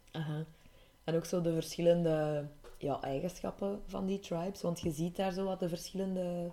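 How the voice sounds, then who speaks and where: A woman with a Flemish accent, a dark, mellow tone and monotone, flat intonation. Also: fairly low pitch for a woman, moderate pace. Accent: Flemish Dutch. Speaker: podcast co-host. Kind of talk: casual chat.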